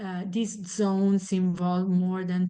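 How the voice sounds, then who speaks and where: A woman's medium-pitched voice, monotone and flat in intonation, at a fairly slow pace over a quiet background. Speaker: researcher presenting a study. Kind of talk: lecture.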